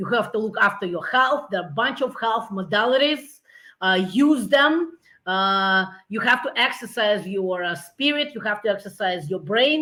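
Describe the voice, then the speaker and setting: On a very clean recording with a silent background, a woman with a Russian accent speaks at a moderate pace, with a fairly high pitch, a bright, sharp tone and lively intonation. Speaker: business founder. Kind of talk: interview. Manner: halting.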